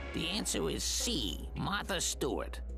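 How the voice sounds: A man's cartoonish character voice at a fairly slow pace, over loud music in the background.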